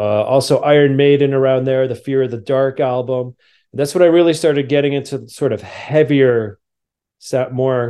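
Using a New Jersey accent, a man speaks at a fairly quick pace and medium pitch in a dark, mellow tone. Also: quiet background. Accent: New Jersey American. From New Jersey, near New York City. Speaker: documentary filmmaker. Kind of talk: interview conversation.

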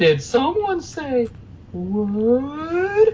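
Amid clear background noise, a put-on character voice with a high pitch makes very wide pitch swings. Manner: comic, exaggerated.

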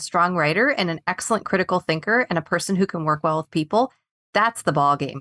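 Recorded with a dry, close sound, no echo and a quiet background, a woman with a fairly low voice speaks at a very fast pace. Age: 40s. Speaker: leadership coach. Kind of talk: interview. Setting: studio.

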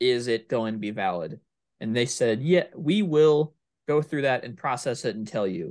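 Using a normal speaking voice, the speaker keeps a moderate pace and lively intonation. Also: man, quiet background. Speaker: podcast co-host. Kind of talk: casual chat.

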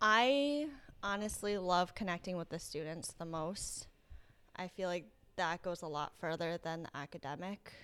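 In a very clean recording with a silent background, a woman with an American accent and an unremarkable speaking voice talks at a fairly slow pace, her fairly low pitch carried by lively intonation. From Rhode Island, US. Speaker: teacher. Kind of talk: interview.

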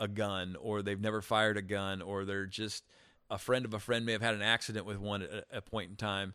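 Fairly low in pitch but bright and sharp in tone, a man with a Midwestern American accent speaks at a fairly quick pace in a monotone, flat intonation, in a very clean recording with a silent background. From US Midwest, small-town central Illinois. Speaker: gun owner and shooting enthusiast. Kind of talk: interview.

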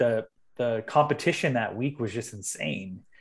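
A man is speaking. He has a Californian accent. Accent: Californian American. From Southern California, Long Beach. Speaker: dubstep DJ and producer. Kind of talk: casual interview. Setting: video call from home studio.

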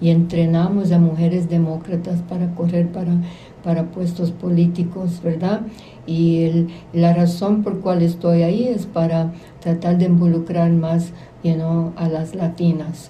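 A woman speaks fairly slowly with monotone, flat intonation and a fairly low pitch. Audible room echo surrounds her voice. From Puerto Rico, Quebradillas. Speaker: community activist. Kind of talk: interview. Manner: halting, many fillers.

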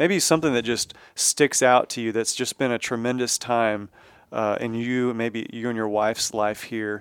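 With a Texan accent and fairly even intonation, a man speaks in a dry, close sound with no echo on a very clean recording with a silent background. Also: medium pitch for a man, moderate pace. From Texas. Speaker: podcast host at a church. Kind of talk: casual interview.

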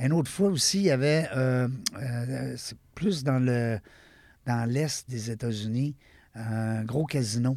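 With a Quebec accent, a man speaks at a very slow pace and a medium pitch, leaving long, frequent pauses. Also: ordinary pitch variation. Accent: Québécois French. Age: 50s. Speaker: podcast host. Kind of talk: casual interview.

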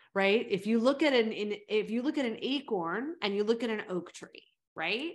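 With an American accent, a woman at a medium pitch uses an ordinary speaking voice, ordinary pitch variation and a moderate pace over a quiet background. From California, US. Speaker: fitness coach and former personal trainer. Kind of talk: casual interview.

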